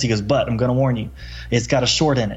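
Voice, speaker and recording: Somewhat breathy and with an American accent, a man talks at a very fast pace with ordinary pitch variation. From US South, Mobile, Alabama. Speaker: author and construction entrepreneur. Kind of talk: casual interview, personal story. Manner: casual, animated.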